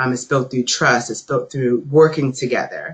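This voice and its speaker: A man speaks in a plain, everyday voice. His pitch is fairly high and his intonation fairly even. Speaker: equity trainer. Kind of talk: webinar training presentation.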